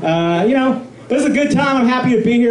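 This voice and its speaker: There is noticeable background noise and audible room echo as a man with an American accent talks with lively intonation. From Colorado (Pueblo). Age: 20s. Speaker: stand-up comedian. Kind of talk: stand-up. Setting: stage with audience. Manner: halting, many fillers.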